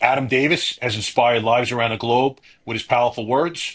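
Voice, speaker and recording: A man talks in a northern US accent at a medium pitch. His pace is fairly quick. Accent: northern US (Yankee). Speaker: podcast host. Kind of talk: reading a prepared guest introduction; podcast interview.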